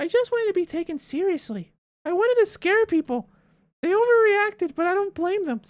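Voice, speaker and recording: This is a put-on character voice at an extremely high pitch. It moves along at a fairly quick pace. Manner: spooky.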